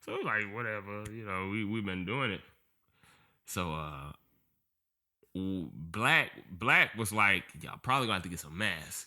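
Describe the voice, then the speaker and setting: A man with a Georgia accent, fairly low in pitch, bright and sharp in tone, animated, with ordinary pitch variation, big swings in loudness, a moderate pace and long, frequent pauses, on a very clean recording with a silent background. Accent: Southern US, Georgia. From Georgia, US. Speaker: podcast guest, former dancer. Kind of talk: casual chat.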